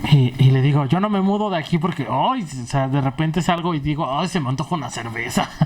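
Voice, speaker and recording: Talk comes at a fairly quick pace with hardly any pauses, against noticeable background noise. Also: man, fairly high pitch for a man, ordinary pitch variation. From Mexico, Puebla. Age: 30s. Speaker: stand-up comedian. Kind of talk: casual interview chat.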